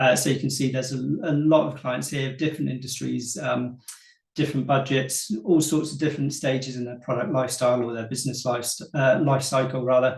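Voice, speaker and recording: Vocal fry runs through a man's medium-pitched voice as he talks at a fairly quick pace. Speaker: marketing agency co-founder. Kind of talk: webinar presentation. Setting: online webinar. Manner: fast.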